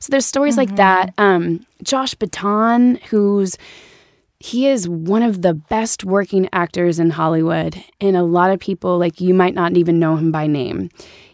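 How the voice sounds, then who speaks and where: A plain, everyday voice with an American accent moves at a moderate pace with ordinary pitch variation. The recording is very clean and dry, close with no echo, against a silent background. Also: woman, medium pitch for a woman. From US Midwest (Ferguson, Missouri). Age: 30s. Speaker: actress. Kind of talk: casual chat.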